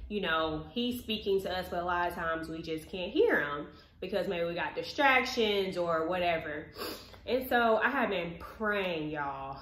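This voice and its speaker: Audible room echo surrounds a woman speaking at a moderate pace in a fairly low voice. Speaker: vlogger. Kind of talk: casual vlog chat, personal story. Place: kitchen. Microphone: camera far.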